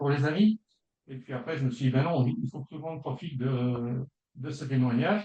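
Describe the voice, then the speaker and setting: This man has a medium pitch, ordinary pitch variation and a somewhat breathy quality. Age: 60s. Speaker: consumer giving a testimonial, retired school educator. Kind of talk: testimony. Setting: video call.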